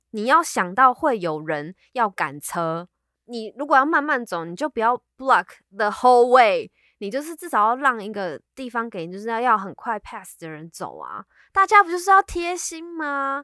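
A bright, sharp voice with a Taiwanese accent, very wide pitch swings and big swings in loudness at a moderate pace, dry and close with no echo in a very clean recording over a silent background. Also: woman, high pitch for a woman. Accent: Taiwanese Mandarin. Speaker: podcast co-host. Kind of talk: casual chat.

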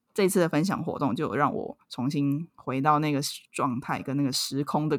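A woman with a Taiwanese accent and a very deep, low pitch, ordinary pitch variation, a moderate pace, and a very clean recording with a silent background. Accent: Taiwanese Mandarin. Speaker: podcast co-host. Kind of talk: casual chat.

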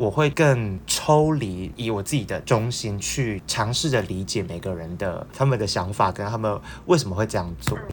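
Noticeable background noise sits under a man's fairly low-pitched voice. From Taiwan. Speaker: entertainment news reporter. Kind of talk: interview.

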